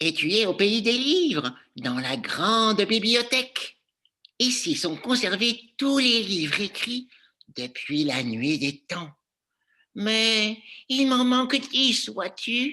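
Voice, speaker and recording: Here is a put-on character voice with a fairly high pitch. It moves at a very slow pace over a quiet background. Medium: read story. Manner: fussy.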